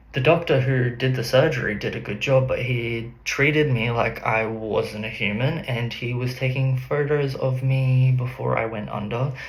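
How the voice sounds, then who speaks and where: A man with an Australian accent talks at a medium pitch with fairly even intonation, with audible room echo and noticeable background noise. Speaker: artist and psychic. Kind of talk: personal vlog.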